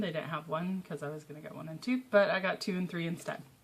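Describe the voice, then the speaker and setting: A woman speaks at a fairly low pitch. Her voice is somewhat breathy. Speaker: comic book vlogger. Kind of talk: casual talk to camera. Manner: hesitant, many fillers.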